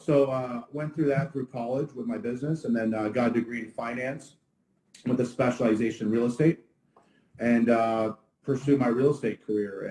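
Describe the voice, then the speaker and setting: A man speaks at a fairly quick pace in a dark, mellow tone. His intonation stays fairly even. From Ottawa, Canada. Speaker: restaurant owner. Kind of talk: casual interview. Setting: livestream.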